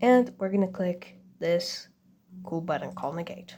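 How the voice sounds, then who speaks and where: A woman with a non-native accent, medium pitch and ordinary pitch variation. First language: not English. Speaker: game builder making a tutorial. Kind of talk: tutorial. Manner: casual, hesitant with fillers.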